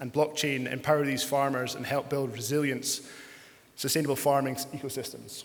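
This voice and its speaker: Over noticeable background noise and audible room echo, a man speaks in a fairly high pitch with monotone, flat intonation. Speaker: panel moderator and farmer. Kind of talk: panel discussion moderation. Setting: conference stage with audience. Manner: hesitant, many fillers.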